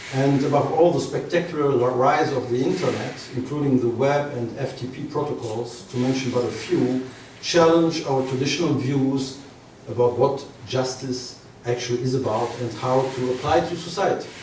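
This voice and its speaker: A man with a non-native accent speaks with fairly even intonation. Audible room echo and noticeable background noise surround him. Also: medium pitch for a man, moderate pace. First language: not English. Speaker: professor. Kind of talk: lecture. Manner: formal.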